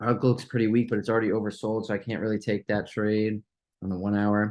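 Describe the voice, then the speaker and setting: A man's fairly low, monotone, flat voice at a very fast pace. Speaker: stock trading youtuber. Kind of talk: live trading watchlist commentary. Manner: casual, halting with fillers.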